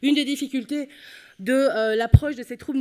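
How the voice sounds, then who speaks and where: A woman in a Belgian accent speaks at a fairly quick pace with ordinary pitch variation. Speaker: psychology professor. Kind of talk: conference talk.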